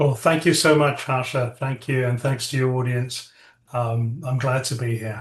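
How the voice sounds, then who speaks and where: Speaking at a moderate pace, a man with a British accent has a somewhat breathy voice, a medium pitch and fairly even intonation. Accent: British (UK). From England (from age eight; born South Africa). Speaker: tech entrepreneur, AI lab CEO. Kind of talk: interview. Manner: halting, many fillers.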